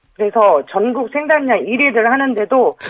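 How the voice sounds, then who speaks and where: Using lively intonation, a man talks at a fairly slow pace in an extremely high pitch. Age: 50s. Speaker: chestnut farmer. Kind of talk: phone interview. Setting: phone call.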